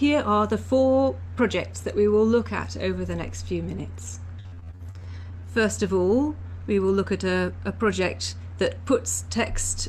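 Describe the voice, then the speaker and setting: A woman talks fairly slowly, and the room's echo is audible. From English Canada. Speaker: university Sanskrit teacher and researcher. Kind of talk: recorded lecture. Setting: pre-recorded talk for online live session.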